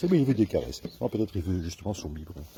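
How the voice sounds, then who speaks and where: A man's voice over noticeable background noise. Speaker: animal sanctuary caretaker. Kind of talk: casual farm tour to camera.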